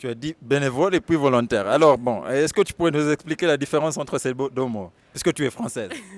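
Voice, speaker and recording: A fairly high-pitched man talks at a fairly quick pace with hardly any pauses, ordinary pitch variation and big swings in loudness. The sound is dry and close with no echo. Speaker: video host, interviewer. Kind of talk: channel outro appeal; interview.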